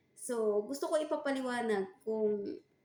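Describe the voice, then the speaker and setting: A woman with a high-pitched voice and a dark, mellow tone swings her pitch very widely. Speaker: vlogger, overseas worker running a side business. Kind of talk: casual vlog talk. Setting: kitchen.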